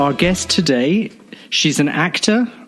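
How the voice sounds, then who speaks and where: The pitch swings very widely. Delivery is at a fairly slow pace. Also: man. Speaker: podcast host. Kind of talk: podcast introduction.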